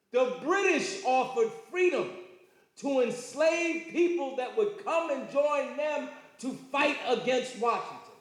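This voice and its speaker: In audible room echo, a man with an extremely high pitch talks at a fairly slow pace, with lively intonation and an animated tone. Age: 70s. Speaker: lecturer. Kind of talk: lecture.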